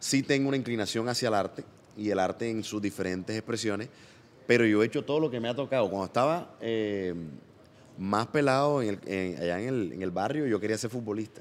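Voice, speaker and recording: In a normal speaking voice, this man moves along at a fairly quick pace. Medium pitch, with ordinary variation throughout. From Colombia, Barranquilla (Caribbean coast). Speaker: comedian and singer. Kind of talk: casual interview chat.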